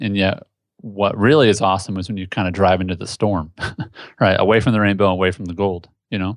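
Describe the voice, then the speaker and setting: A man's fairly low, very fast speech in a Midwestern US accent, with fairly even intonation and a quiet background. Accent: US Midwest. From Indianapolis, Indiana. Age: 30s. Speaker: entrepreneur. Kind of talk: casual interview. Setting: home office.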